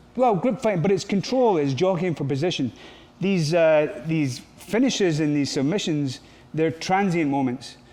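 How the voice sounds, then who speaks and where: A man talks with lively intonation in a fairly high voice. Audible room echo surrounds him. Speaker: grappling and MMA coach. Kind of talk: coaching seminar Q&A. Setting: gym training camp with group. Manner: fast.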